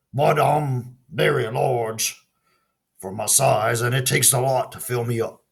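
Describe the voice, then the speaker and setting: A raspy put-on character voice from a man, medium in pitch, at a fairly slow pace. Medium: read story. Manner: fussy, worried.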